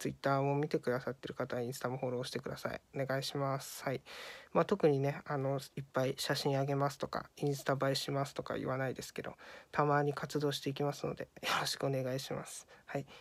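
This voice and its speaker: A woman speaks at a very fast pace in a very deep, low pitch with monotone, flat intonation. The recording is very clean, with a silent background. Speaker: YouTuber. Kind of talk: casual vlog announcement. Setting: lying down in an unusual place, wearing a mask. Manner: halting, many fillers; relaxed, casual.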